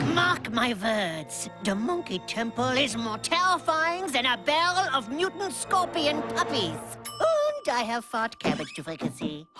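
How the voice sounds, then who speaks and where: A woman puts on a cartoonish character voice with a high pitch. She keeps a moderate pace while clear music plays in the background. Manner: blunt, gruff.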